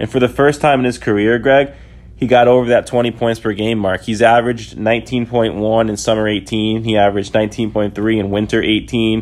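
A man at medium pitch and a moderate pace. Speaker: basketball podcast host. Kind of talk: casual sports podcast discussion. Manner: animated.

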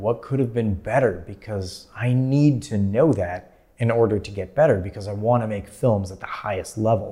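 The voice is somewhat breathy with a dark, mellow tone and an American accent, moving at a fairly slow pace on a very clean recording with a silent background. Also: man. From US Midwest, Minnesota. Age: 30s. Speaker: filmmaker. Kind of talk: casual interview conversation. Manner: many fillers and restarts.

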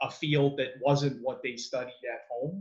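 A somewhat breathy man's voice, fairly high in pitch, with a Canadian accent and a fairly slow pace. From Canada, Mississauga, Ontario. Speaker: business development representative at a testing company. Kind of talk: interview.

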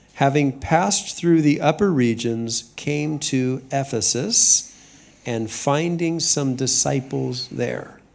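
Someone with an American accent speaks at a very slow pace with ordinary pitch variation over noticeable background noise. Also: man, fairly high pitch for a man. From US West, Southern California. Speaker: senior pastor. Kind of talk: sermon. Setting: church with congregation. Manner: measured, pausing for interpreter.

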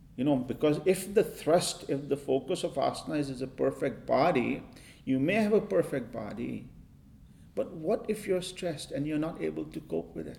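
Here a man talks at a moderate pace with a fairly high pitch and lively intonation. His dark, mellow tone carries some vocal fry. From India. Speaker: yoga and breathing teacher. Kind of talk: interview.

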